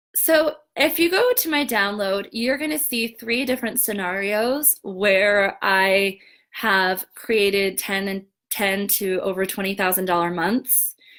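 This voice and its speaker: A woman speaks at a fairly slow pace in a medium pitch. Her tone is enthusiastic and her intonation lively. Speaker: business coach. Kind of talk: live webinar presentation. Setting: live stream with comments.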